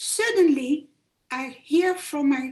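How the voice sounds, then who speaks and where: A woman with a Dutch accent speaks in a high voice with ordinary pitch variation. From Netherlands, Amsterdam. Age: 70s. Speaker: Holocaust survivor, audience member. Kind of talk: Q&A remarks at a talk. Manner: halting.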